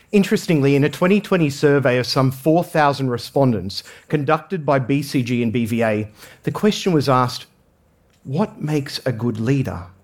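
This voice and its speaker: Lively in intonation and fairly quick, a man with an Australian accent speaks at a fairly high pitch. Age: 40s. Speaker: management consultant and former priest. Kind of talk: talk to an audience.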